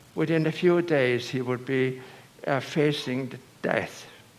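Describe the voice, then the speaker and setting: A man with an Irish accent at a very slow pace, amid audible room echo and noticeable background noise. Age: 80s+. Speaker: priest. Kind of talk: sermon. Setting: church. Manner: halting.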